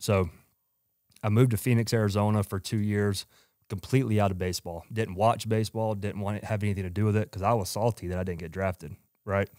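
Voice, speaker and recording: A man with a strong Georgia Southern accent, fairly low in pitch and very fast, with fairly even intonation, a dry, close sound with no echo and a very clean recording against a silent background. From US South, Georgia. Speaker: entrepreneur, former college baseball player. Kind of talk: podcast interview, casual chat.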